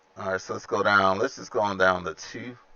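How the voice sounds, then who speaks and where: A man's very deep, low voice with a Southern US accent, relaxed in tone and flat, monotone in intonation. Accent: Southern US accent, noticeable. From Alabama. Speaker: flight sim streamer. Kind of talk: casual live-stream chat with flight commentary. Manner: relaxed, conversational with fillers.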